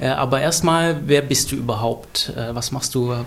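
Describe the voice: At a moderate pace, a man speaks at a medium pitch with ordinary pitch variation and some vocal fry.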